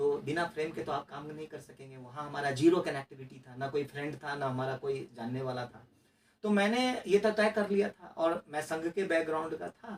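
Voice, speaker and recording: This man's pitch is fairly high, with lively intonation at a moderate pace. His loudness swings widely. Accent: Bihar. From Mithila region, Bihar, India. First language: Maithili (speaking Hindi). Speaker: RTI activist and former election candidate. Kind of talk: interview. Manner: hesitant, with fillers and restarts.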